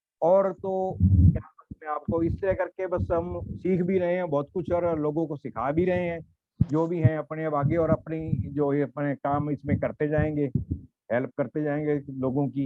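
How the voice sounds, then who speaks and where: Ordinary pitch variation marks an unremarkable speaking voice. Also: man, fairly high pitch for a man. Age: 60s. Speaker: retired network marketing member. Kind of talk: panel talk show discussion.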